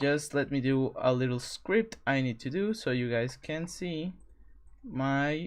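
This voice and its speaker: Speaking very slowly, this person has a non-native accent. There is a silent background on a very clean recording. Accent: foreign accent, non-native English. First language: not English. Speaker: streamer teaching 3D track modeling. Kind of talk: live stream tutorial. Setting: live stream. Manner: halting, with self-corrections.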